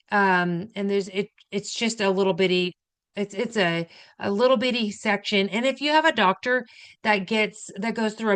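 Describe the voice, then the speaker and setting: Talking at a fairly quick pace, a woman uses an ordinary speaking voice with medium pitch and ordinary pitch variation. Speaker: registered nurse, health educator. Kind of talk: educational talk. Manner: casual, conversational.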